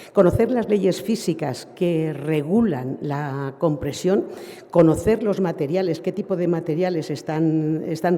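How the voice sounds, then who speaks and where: A woman speaks with a fairly low pitch over noticeable background noise. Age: 70s. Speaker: nurse lecturer. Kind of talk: lecture. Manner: halting, with many fillers and restarts.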